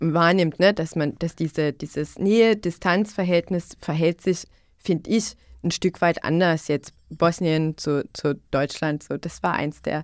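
A woman speaks fairly slowly in a fairly low pitch with fairly even intonation. The sound is dry and close, with no echo. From Bosnia, northwest (Una-Sana region). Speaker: youth worker. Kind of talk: podcast conversation. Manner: repetitive, halting with fillers.

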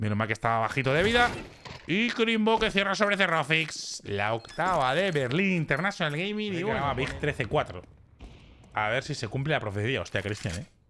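At a moderate pace, a man speaks with a fairly high pitch. His pitch swings very widely. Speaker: esports commentator. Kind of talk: live esports commentary. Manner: animated, excitable.

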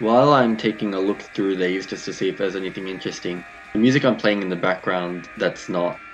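A man's very deep, low voice at a fairly quick pace, with music in the background. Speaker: music reviewer. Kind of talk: commentary.

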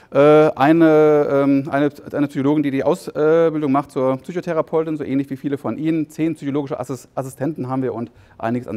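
Very fast and fairly high in pitch, a man's voice comes through dry and close with no echo. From East Germany. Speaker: psychotherapist. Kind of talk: conference talk. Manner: halting, with repetitions and fillers.

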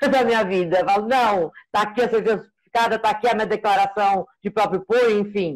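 At a moderate pace and with hardly any pauses, a woman talks in very even loudness and fairly even intonation. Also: fairly high pitch for a woman. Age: 40s. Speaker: procurement analyst. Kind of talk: casual consultation. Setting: video call. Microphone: video call.

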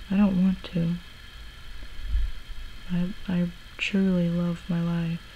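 Speaking very slowly and softly, a woman keeps a flat, monotone intonation with long, frequent pauses over light background noise. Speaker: ASMR creator. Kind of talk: ASMR soft-spoken talk. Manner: soft-spoken. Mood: reflective, serious. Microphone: camera far.

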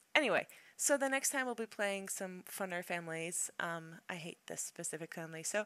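A woman's medium-pitched voice has a bright, sharp tone. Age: 30s. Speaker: gaming YouTuber. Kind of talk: let's play commentary. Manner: casual, hesitant with fillers.

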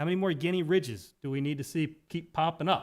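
A man with an American accent has a normal speaking voice and ordinary pitch variation. He talks at a moderate pace on a very clean recording with a silent background. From Talbot County, Maryland (Eastern Shore). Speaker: county council member. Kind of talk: council meeting remarks.

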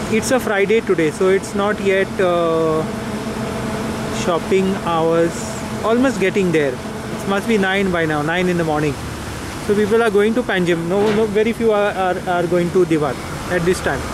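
At a moderate pace, the speech sounds dry with no echo, set against noticeable background noise. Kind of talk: casual travel commentary. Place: boat. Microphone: phone near.

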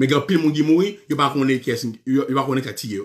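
A man talks with ordinary pitch variation and a moderate pace over a quiet background. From Haiti. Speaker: radio show host. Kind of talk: live call-in show. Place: office. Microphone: webcam.

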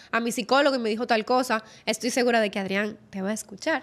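With fairly even intonation, a woman speaks at a fairly quick pace. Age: 20s. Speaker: sports psychologist and former competitive swimmer; guest. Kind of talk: interview; interview answer. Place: studio. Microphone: studio mic.

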